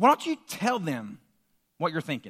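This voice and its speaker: A man's raised, projected voice comes through at a fairly quick pace in a bright, sharp tone, on a very clean recording with a silent background. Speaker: preacher. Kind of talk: sermon. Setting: church.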